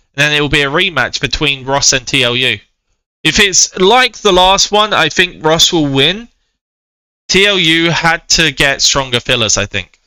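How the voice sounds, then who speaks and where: A fairly high-pitched man with a British accent, bright and sharp in tone, lively intonation and a moderate pace, in a very clean recording with a silent background. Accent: UK. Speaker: game commentator. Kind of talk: live commentary; casual chat. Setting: live stream. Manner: hesitant.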